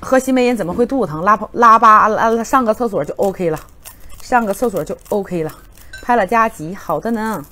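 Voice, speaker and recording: The delivery has an animated tone and lively intonation. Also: woman, fairly high pitch for a woman. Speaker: livestream seller. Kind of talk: rapid-fire livestream hard-sell pitch, countdown to flash sale. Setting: livestream studio. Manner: excitable, hype-driven, rapid repetition of prices and urgency; animated, loud exclamations while eating. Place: studio. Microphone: lapel.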